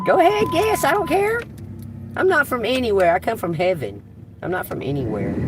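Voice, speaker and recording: A woman with a Southern US accent talks at a fairly quick pace, broken by long, frequent pauses. Music plays in the background. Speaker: tarot reader. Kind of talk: live tarot reading. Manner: animated.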